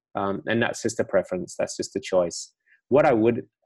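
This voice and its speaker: With a fairly low pitch and ordinary pitch variation, the man has an unremarkable speaking voice. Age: 50s. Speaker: meditation teacher, former finance broker. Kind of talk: interview conversation.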